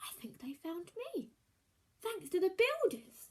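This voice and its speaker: In a put-on character voice, a woman speaks at a fairly slow pace with extremely high pitch and very wide pitch swings. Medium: read story. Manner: polite, earnest.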